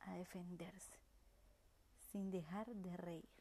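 At a very slow pace, the voice has a dark, mellow tone. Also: woman. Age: 30s. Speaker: reading promoter and mother. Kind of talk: personal narrative reading.

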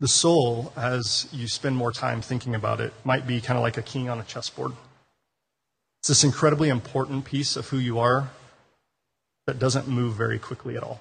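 A man with an American accent and a medium pitch talks at a moderate pace, sounding somewhat breathy and leaving long, frequent pauses. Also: fairly even intonation. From Denver, Colorado. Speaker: pastor. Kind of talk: sermon. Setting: church.

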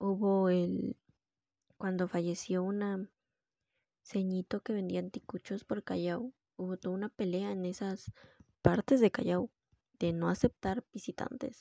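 With a dark, mellow tone and medium pitch, a woman talks at a fairly slow pace and with fairly even intonation, her voice dry and close with no echo. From Peru. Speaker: podcast host. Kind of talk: solo monologue podcast.

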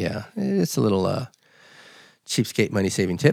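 A man talks with a General American accent at a moderate pace. His pitch swings very widely. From Los Angeles. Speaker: podcast host. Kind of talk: casual chat.

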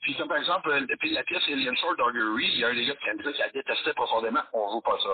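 This man rattles off his words very fast while noticeable noise runs in the background. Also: very even loudness. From Quebec, Valleyfield. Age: 50s. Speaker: metal musician and history teacher. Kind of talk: casual interview. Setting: phone call.

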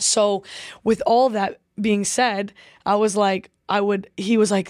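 Recorded very cleanly against a silent background, a woman speaks in a plain, everyday voice at medium pitch. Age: 20s. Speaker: professional footballer. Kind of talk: casual interview.

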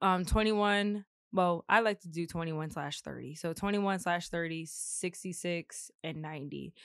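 Against a quiet background, a woman with a fairly low pitch has an ordinary speaking voice. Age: 20s. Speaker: podcast host and growth coach. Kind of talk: casual chat. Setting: studio.

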